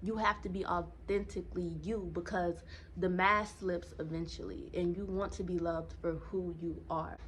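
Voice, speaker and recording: Speech at a moderate pace with audible echo from the room. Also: woman. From US South, Savannah, Georgia. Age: 20s. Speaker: dating and self-help vlogger. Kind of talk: casual vlog talk to camera.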